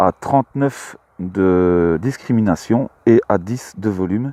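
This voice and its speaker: A man with a Belgian accent, fairly low pitch, ordinary pitch variation, and a dark, mellow tone in a dry, close sound with no echo. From Belgium, Luxembourg province. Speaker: metal detecting hobbyist vlogger. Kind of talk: casual vlog commentary. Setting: outdoors in a field. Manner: hesitant, many fillers.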